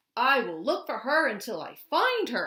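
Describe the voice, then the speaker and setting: A woman uses a put-on character voice at a high pitch and a moderate pace. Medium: read story.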